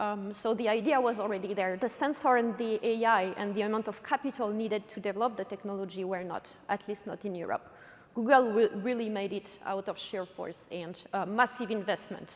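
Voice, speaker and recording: A woman speaks in a French accent with ordinary pitch variation. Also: fairly quick pace. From France. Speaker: robotics company co-founder and CTO. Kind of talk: conference talk. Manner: halting, many fillers.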